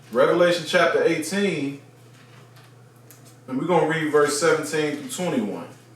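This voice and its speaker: Against noticeable background noise and audible room echo, a man talks at a moderate pace in a fairly high pitch with fairly even intonation and long, frequent pauses. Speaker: bible teacher, religious video host. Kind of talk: bible teaching monologue. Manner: conversational with frequent fillers.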